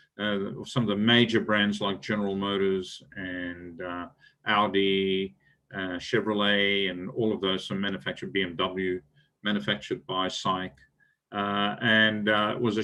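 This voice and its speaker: A man with an Australian accent, fairly low in pitch, at a fairly slow pace. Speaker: business executive. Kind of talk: lecture. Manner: halting, many fillers.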